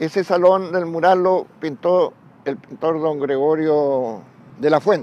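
At a very slow pace, a man's fairly high voice shows ordinary pitch variation. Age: 80s+. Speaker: retired railway worker. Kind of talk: oral history testimony. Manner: halting, with repetitions.

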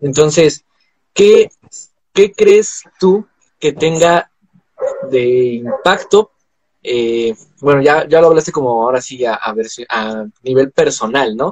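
Speaking very slowly with long, frequent pauses, a man uses lively intonation in a dry, close recording with no echo. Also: fairly high pitch for a man. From Mexico. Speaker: podcast host. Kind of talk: casual chat. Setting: live video stream.

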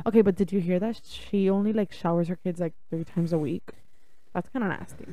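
Her tone dark and mellow, a woman speaks at a moderate pace and medium pitch with fairly even intonation. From Cuban-born, raised in the US from age four. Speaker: podcast co-host. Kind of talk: casual chat.

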